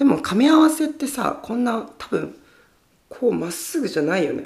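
A woman speaks with very wide pitch swings. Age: 20s. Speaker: podcast host. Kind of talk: casual chat. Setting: home storage room, livestreaming while recording. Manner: animated.

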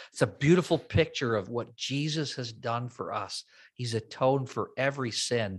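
On a very clean recording with a silent background, an ordinary speaking voice shows ordinary pitch variation. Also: man, medium pitch for a man, moderate pace. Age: 50s. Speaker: worship pastor. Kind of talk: casual chat.

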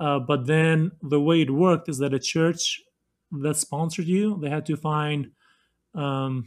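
In a very clean recording with a silent background, a man with a Kosovar accent speaks in a fairly high pitch with fairly even intonation. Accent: Kosovar Albanian-accented English. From Kosovo. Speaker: former refugee, government worker. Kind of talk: casual interview.

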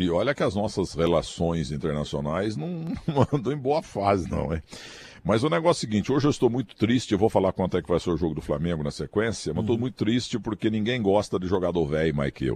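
A man talks at a very fast pace and fairly low pitch, with very wide pitch swings. The background is quiet. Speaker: sports commentator. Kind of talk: casual chat.

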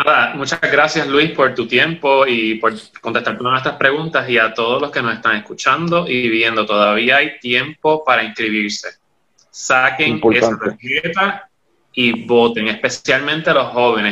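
Bright and sharp in tone, a man's medium-pitched voice moves at a fairly slow pace with ordinary pitch variation. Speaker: panelist. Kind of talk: interview.

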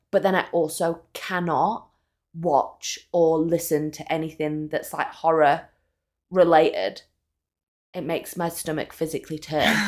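A woman speaks with a northern English accent, her pitch fairly low and her intonation flat and monotone at a fairly slow pace. The recording is very clean, with a silent background. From northern England. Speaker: podcast co-host. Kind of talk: casual chat.

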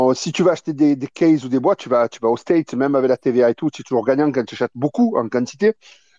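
Fairly high in pitch, a man speaks with lively intonation and a dark, mellow tone. The sound is dry and close with no echo, over a quiet background. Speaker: trading card shop owner and importer. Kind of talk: casual live audio chat. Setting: live audio room online. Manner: informal, colloquial speech.

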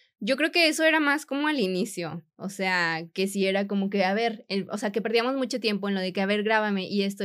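In a very clean recording with a silent background, a woman with an unremarkable speaking voice talks at a fairly quick pace and a fairly high pitch. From Mexico, Monterrey. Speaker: sports nutritionist and content creator. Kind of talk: interview conversation.

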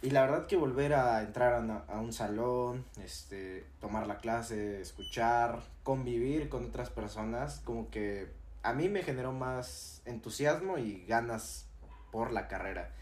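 Audible room echo follows this man. He talks at a fairly slow pace. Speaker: university student podcast co-host. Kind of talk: casual chat.

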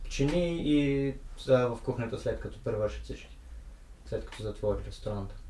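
Audible room echo surrounds this recording. A man talks at a moderate pace. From Bulgaria. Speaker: guest who worked abroad. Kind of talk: casual interview chat.

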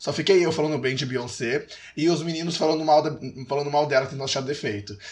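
His speech races along at a very fast pace. The man's voice is fairly high. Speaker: podcast co-host. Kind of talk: casual chat.

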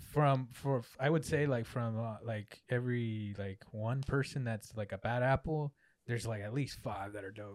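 An ordinary speaking voice with fairly even intonation moves at a moderate pace over a very clean recording with a silent background. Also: man, medium pitch for a man. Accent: American. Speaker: photographer. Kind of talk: casual chat.

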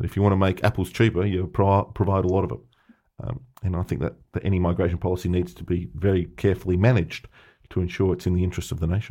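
In an Australian accent, a man with a very deep, low pitch and a dark, mellow tone talks at a very fast pace. His intonation is fairly even, and the recording is very clean with a silent background. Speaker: fraud analyst guest. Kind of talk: casual interview chat. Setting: studio.

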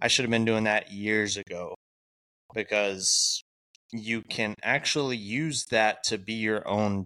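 A man speaks at a fairly slow pace in a bright, sharp tone with fairly even intonation. The sound is dry and close with no echo. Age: 30s. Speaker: podcast co-host and tradesman. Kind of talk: casual chat.

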